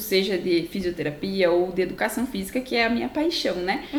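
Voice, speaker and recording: This woman's intonation is lively. Noticeable background noise runs under her voice. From Brazil, interior of Paraná. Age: 20s. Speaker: physical educator, dance biomechanics specialist. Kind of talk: explanatory interview talk.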